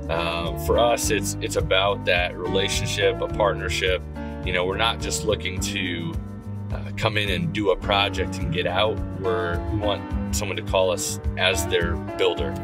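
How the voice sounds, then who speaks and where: Loud music plays behind a man speaking at a fairly slow pace. The sound itself is dry with no echo. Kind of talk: casual ride-along commentary. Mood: friendly, proud. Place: car.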